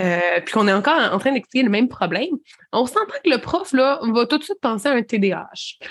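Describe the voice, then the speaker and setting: A woman talks in a high voice at a fairly quick pace, with very wide pitch swings. The sound is dry and close, with no echo. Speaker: podcast co-host. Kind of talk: casual chat.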